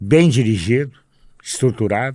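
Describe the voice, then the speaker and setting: A man talks at a fairly slow pace with ordinary pitch variation in a very clean recording with a silent background. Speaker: sports radio host. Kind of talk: casual interview.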